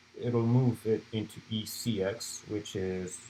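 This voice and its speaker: The speaker is a man with a non-native accent. His intonation is monotone and flat. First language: not English. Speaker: student club presenter. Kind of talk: lecture. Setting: live stream. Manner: halting.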